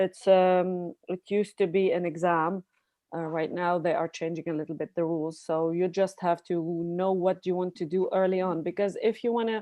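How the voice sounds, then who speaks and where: Her pitch is fairly low and her intonation monotone and flat as a woman talks at a moderate pace. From Lebanon. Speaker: neurosurgeon. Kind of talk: panel discussion.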